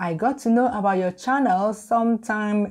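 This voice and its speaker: Over a quiet background, a woman with a dark, mellow tone speaks at a fairly slow pace with ordinary pitch variation. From Nigeria. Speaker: YouTuber, food blogger. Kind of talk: casual talk to camera.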